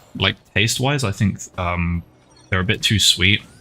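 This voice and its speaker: A man at a moderate pace, ordinary pitch variation, over noticeable background noise. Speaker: game streamer. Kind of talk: casual live-stream chat while gaming. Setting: live stream with chat. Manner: soft-spoken, talking quietly for ASMR.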